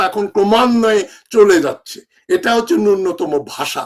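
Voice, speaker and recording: Speaking at a high pitch, a man uses lively intonation and an animated tone. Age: old. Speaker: political commentator. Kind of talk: political monologue.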